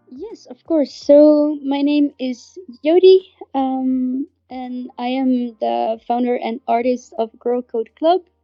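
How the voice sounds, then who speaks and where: A woman speaks very slowly in a Dutch accent, her pitch high with ordinary variation. Her loudness swings widely. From Netherlands, Amsterdam. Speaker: artist and NFT project founder. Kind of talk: podcast interview. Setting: live online audio room. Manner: hesitant, many fillers.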